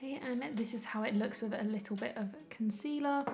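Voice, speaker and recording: A woman at a fairly quick pace with ordinary pitch variation, against noticeable background noise. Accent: London. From London, UK. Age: 20s. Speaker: beauty YouTuber, psychology student. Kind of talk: casual makeup review to camera.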